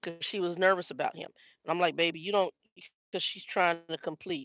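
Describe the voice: The voice moves at a fairly quick pace with a fairly bright tone and a dry, close sound with no echo.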